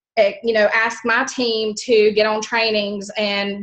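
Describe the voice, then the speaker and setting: The speech comes at a fairly slow pace in a strong Southern US accent, with monotone, flat intonation. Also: woman. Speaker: network marketing team member. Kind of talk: team call testimony. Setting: conference call. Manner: chatty, many fillers.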